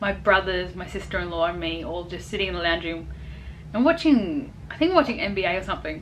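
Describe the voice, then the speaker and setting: A woman talks at a fairly quick pace with big swings in loudness, and there is noticeable background noise. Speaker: expat vlogger. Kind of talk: casual talk to camera. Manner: hesitant, rambling.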